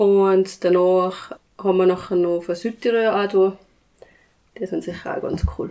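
This woman has a medium-pitched voice. The variation in her pitch is ordinary. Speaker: village band chairwoman, clarinetist. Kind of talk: casual interview.

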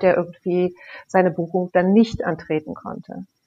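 A woman speaks at a moderate pace and medium pitch in a normal speaking voice. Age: 50s. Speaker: camping industry relations manager. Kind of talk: casual chat.

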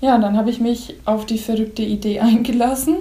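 Speaking at a moderate pace, a woman has an unremarkable speaking voice, fairly high pitch and fairly even intonation. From Upper Franconia, Pottenstein. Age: 20s. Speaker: seamstress, bridal consultant. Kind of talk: casual interview.

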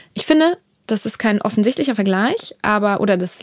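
Her pitch is fairly high for a woman and varies in an ordinary way. She talks at a fairly quick pace. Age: 30s. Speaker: music producer manager. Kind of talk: interview. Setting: office. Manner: hesitant fillers.

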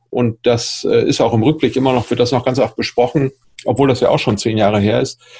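Somewhat breathy, a man's medium-pitched voice has a dark, mellow tone and fairly even intonation. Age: 50s. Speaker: entrepreneur and public speaker. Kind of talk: interview.

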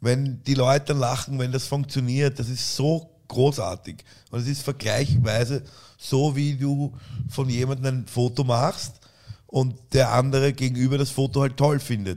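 Fairly even intonation in a man's dark, mellow voice. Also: medium pitch for a man. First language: not German (speaking German). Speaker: photographer and comedian. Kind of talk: casual chat. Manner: halting.

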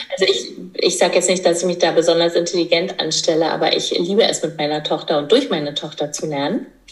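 The speaker talks at a very fast pace with ordinary pitch variation, and noticeable background noise can be heard. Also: woman, fairly low pitch for a woman. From eastern Germany. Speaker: midwife and entrepreneur. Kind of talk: casual interview.

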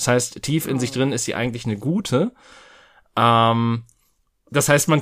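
In a very clean recording with a silent background, a man speaks at a moderate pace in a plain, everyday voice of medium pitch with ordinary pitch variation. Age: 30s. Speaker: podcast host. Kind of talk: casual chat.

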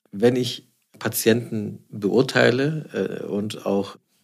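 A man speaks in a plain, everyday voice at a medium pitch. His pitch variation is ordinary. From Swabia, Stuttgart. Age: 40s. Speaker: plastic surgeon. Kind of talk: interview.

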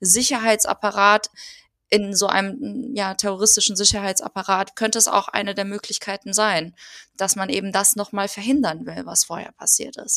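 Recorded very cleanly against a silent background, with a dry, close sound and no echo, a woman talks at a moderate pace in a medium pitch, her bright, sharp tone carrying fairly even intonation. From Germany. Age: 30s. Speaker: political educator. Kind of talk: casual interview.

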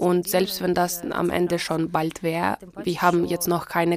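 Over noticeable background noise, a woman speaks at a moderate pace in a fairly low voice. Her intonation stays monotone and flat. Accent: Ukrainian. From Ukraine. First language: Ukrainian (speaking German). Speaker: interpreter. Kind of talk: interpreting.

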